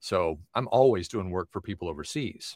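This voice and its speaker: A plain, everyday voice from a man with an American accent, lively intonation and a moderate pace, in a dry, close sound with no echo on a very clean recording over a silent background. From US South, Tennessee. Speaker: voiceover artist and coach. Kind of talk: casual interview.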